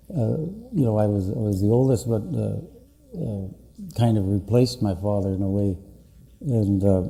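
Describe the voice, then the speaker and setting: A man's fairly low, somewhat breathy voice with a dark, mellow tone and ordinary pitch variation, broken by long, frequent pauses, in audible room echo. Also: moderate pace. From northwestern Ontario, Canada. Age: 60s. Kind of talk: public address. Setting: conference meeting with audience. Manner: halting, many fillers.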